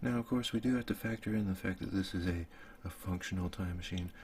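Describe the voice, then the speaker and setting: A man speaks at a fairly quick pace with a very deep, low pitch. His voice is somewhat breathy. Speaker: ASMR content creator. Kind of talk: improvised ASMR storytelling while drawing, sleep aid. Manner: casual, laid-back, musing aloud.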